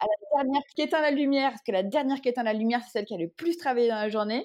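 A woman talks at a very fast clip with ordinary pitch variation against a quiet background. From Paris region, France. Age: 30s. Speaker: entrepreneur. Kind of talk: interview.

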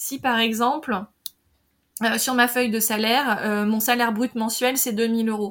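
A woman talks at a fairly slow pace and fairly high pitch. Her intonation is monotone and flat. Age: 40s. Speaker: marketing director and creative business podcaster. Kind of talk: casual interview. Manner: hesitant, many fillers.

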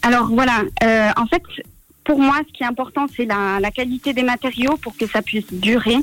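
Here a woman speaks at a high pitch. Her pace is moderate. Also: ordinary pitch variation. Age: 20s. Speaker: apprentice mechanic. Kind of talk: radio interview. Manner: halting, many fillers.

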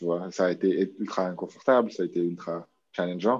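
Very deep and low, a man's voice moves at a moderate pace with ordinary pitch variation. The background is quiet. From New Caledonia. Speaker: online business entrepreneur, marketing expert. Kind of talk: interview.

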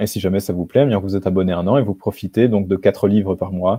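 Against a quiet background, a man with a plain, everyday voice talks at a fairly quick pace in a fairly low pitch. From rural Belgium. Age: 20s. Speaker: author. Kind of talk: interview.

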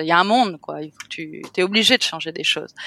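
Against a silent background, this very clean recording sounds dry and close, with no echo. A woman speaks at a medium pitch with ordinary pitch variation. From France, Cannes. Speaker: hotel owner. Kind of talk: interview.

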